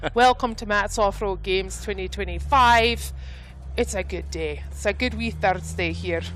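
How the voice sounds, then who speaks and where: The woman speaks at a moderate pace. There is audible room echo around her. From Scotland. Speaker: live event commentator. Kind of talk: live commentary. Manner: loud; animated.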